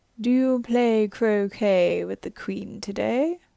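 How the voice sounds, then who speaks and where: Using a put-on character voice, a woman talks fairly slowly at a fairly high pitch. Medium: read story. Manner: sly, teasing.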